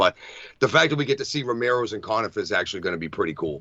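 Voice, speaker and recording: A man with a Boston accent. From Massachusetts. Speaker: wrestling podcast co-host. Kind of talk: casual chat.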